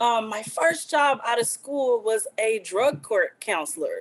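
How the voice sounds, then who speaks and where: A woman with a Louisiana accent talks at high pitch and a moderate pace. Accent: Southern US (Louisiana). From Southwest Louisiana. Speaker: problem gambling advocate. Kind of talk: interview.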